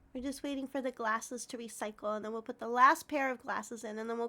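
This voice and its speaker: A woman with a high pitch and a bright, sharp tone speaks at a very fast pace. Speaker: Twitch streamer. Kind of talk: casual livestream talk to chat. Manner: soft-spoken, friendly.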